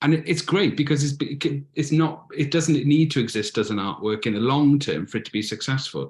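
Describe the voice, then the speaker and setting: Against a quiet background, a somewhat breathy man talks at a fairly quick pace, his fairly high pitch showing ordinary variation. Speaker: community artist. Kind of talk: presentation. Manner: fast.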